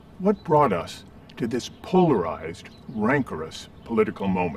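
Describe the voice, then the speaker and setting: Over noticeable background noise, a man at medium pitch speaks at a moderate pace with very wide pitch swings. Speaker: political philosopher. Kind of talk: public talk.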